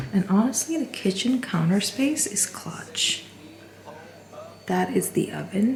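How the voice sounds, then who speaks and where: Over noticeable background noise, a woman with a medium pitch and lively intonation speaks at a fairly slow pace with long, frequent pauses. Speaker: vlogger. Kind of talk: home tour vlog. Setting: walking through an apartment. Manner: soft-spoken.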